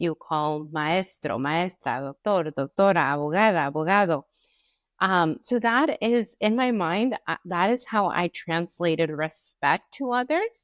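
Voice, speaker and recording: Delivered at a fairly slow pace in a Spanish accent, the intonation is lively. The recording is very clean with a silent background, and the sound is dry and close with no echo. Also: woman, fairly low pitch for a woman. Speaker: podcast co-host. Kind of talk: casual chat.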